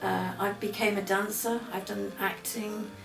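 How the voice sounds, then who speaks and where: A woman's medium-pitched voice with a British accent, with audible room echo and noticeable background noise. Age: 60s. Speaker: former addict, rehab graduate. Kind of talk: interview testimony.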